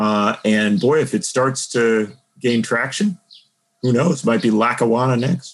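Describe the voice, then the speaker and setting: Over a quiet background, a man speaks in a plain, everyday voice at medium pitch and a moderate pace. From Wisconsin, around Milwaukee. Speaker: political journalist and author. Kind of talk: interview on politics.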